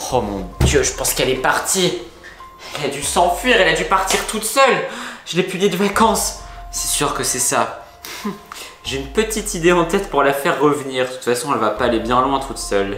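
With clear music in the background, a man talks fairly quickly. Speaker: family vlogger. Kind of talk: casual vlog chat. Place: home room.

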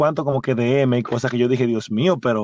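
The speaker has a Dominican accent. The sound is dry and close, with no echo. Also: man. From Dominican Republic, San Pedro de Macorís. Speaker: podcast host. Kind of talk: casual chat. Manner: halting.

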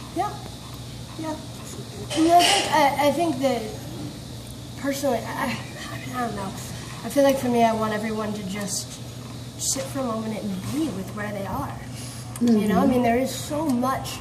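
With noticeable background noise, a woman talks at a moderate pace, leaving long, frequent pauses. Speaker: conversation partner. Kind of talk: casual conversation. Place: cafe. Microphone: phone near.

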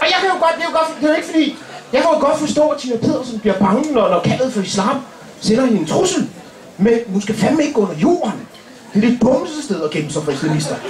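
Delivered at a very fast pace with very wide pitch swings, the voice carries audible room echo and light background noise. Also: man, extremely high pitch for a man. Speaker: comedian. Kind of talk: stand-up comedy roast. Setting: stage with audience. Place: stage. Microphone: camera far.

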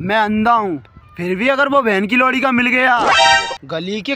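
Over music in the background, the speaker goes at a fairly slow pace with ordinary pitch variation, in a dry sound with no echo. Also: man. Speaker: comic skit actor. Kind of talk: angry scripted skit dialogue. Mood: angry, threatening. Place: open country. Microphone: phone near.

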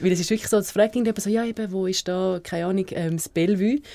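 A woman's medium-pitched voice at a fairly quick pace, with ordinary pitch variation and noticeable background noise. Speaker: radio show co-host. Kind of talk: casual radio show banter.

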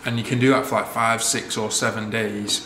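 A man at a moderate pace with fairly even intonation, light background noise and audible room echo. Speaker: vlogger. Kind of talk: casual vlog chat. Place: kitchen.

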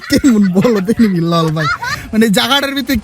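A man is shouting loudly with very wide pitch swings over noticeable background noise. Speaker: gaming YouTuber. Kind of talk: live gameplay commentary. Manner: loud, shouting.

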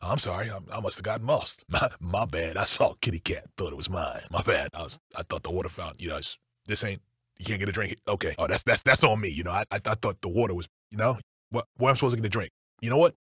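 A man puts on a raspy character voice at a medium pitch. He talks at a very fast pace on a very clean recording with a silent background. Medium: video game. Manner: sheepish, rambling, hesitant.

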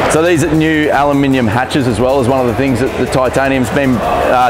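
A man rushes through his words at a very fast pace with music behind him. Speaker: vlogger presenter. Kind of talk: walkthrough commentary. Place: hall. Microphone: lapel.

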